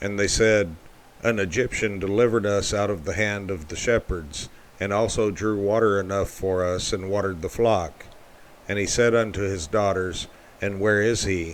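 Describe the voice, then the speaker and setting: A man speaks with a fairly low pitch and fairly even intonation. It is an ordinary speaking voice. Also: moderate pace. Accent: American. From Texas, United States. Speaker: amateur audio Bible narrator. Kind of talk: Bible reading. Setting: home recording with air conditioner hum.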